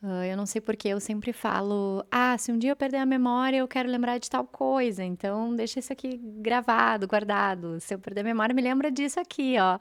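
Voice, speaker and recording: A woman with a normal speaking voice talks at a fairly high pitch with ordinary pitch variation, on a very clean recording with a silent background. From southern Brazil. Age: 30s. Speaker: podcast host and coach. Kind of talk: solo podcast monologue.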